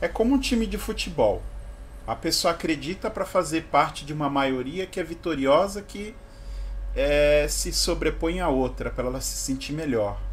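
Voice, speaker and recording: A man's speech comes at a moderate tempo. There is light background noise behind it. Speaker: vlogger. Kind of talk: opinion monologue vlog. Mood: provocative, mocking. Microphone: webcam.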